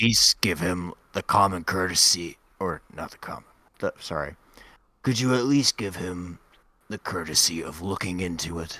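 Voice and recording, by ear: A man puts on a raspy character voice with a very deep, low pitch. He talks at a moderate pace, and the sound is dry and close with no echo.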